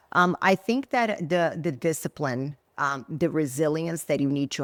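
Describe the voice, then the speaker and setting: A woman's very deep, low voice in a Portuguese accent, with ordinary pitch variation, on a very clean recording with a silent background and a dry, close sound with no echo. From Brazil. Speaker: former bodybuilding champion, entrepreneur. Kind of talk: interview podcast. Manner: animated.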